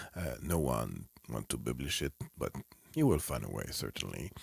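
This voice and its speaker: With a French accent, a man speaks at a moderate pace and a very deep, low pitch, with vocal fry, lively intonation, and long, frequent pauses. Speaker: clinical psychologist and author. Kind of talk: playful self-interview. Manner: halting.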